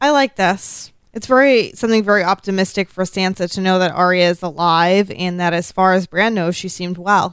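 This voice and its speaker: At a fairly quick pace and medium pitch, a woman speaks with ordinary pitch variation and hardly any pauses, in a very clean recording with a silent background. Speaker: podcast co-host. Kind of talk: casual chat. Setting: live-streamed recording with chat room. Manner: sometimes quiet, off mic.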